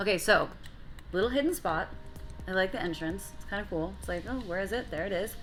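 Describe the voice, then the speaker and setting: Music plays in the background and the room echo is audible as the speaker goes at a very fast pace, with long, frequent pauses and ordinary pitch variation. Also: woman. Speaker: food show host. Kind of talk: casual interview. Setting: cocktail bar.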